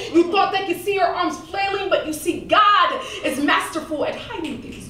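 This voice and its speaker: Someone speaks in a raised, projected voice with an intense tone at a moderate pace, amid audible room echo and light background noise. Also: woman. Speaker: spoken word poet. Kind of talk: spoken word poetry performance. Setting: live stage, comedy club audience. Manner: intense, emotional. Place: stage.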